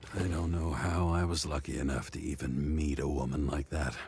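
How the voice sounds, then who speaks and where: A man puts on a character voice, raspy and very deep, in a weary tone. He keeps a moderate pace with fairly even intonation. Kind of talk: hard-boiled noir voice-over. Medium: video game. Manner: weary, brooding.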